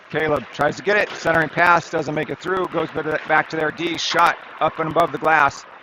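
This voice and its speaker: There is noticeable background noise behind this man. He speaks at a moderate pace with a fairly high pitch. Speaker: youth hockey game commentator. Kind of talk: live commentary; casual recap. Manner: animated.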